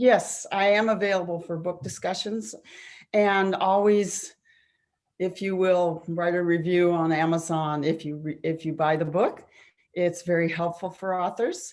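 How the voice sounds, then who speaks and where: A woman's unremarkable speaking voice, fairly low-pitched, at a fairly slow pace with fairly even intonation. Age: 60s. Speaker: psychotherapist and author. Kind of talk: interview.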